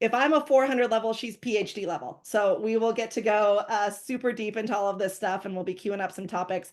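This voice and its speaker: A woman at a fairly quick pace over a quiet background. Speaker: company CEO and webinar moderator. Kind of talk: webinar presentation. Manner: fast.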